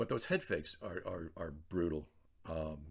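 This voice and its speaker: A somewhat breathy man with a very deep, low pitch speaks at a fairly quick pace in a flat monotone, captured in a very clean recording with a silent background. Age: 60s. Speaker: trader vlogger. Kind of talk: casual video journal. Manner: hesitant, many fillers and repetitions.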